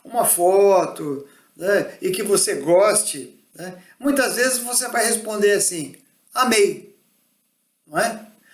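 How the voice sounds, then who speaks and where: With lively intonation and a high pitch, a man speaks at a very slow pace amid audible room echo. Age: 60s. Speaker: spiritist lecturer. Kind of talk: religious talk. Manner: conversational, frequent fillers.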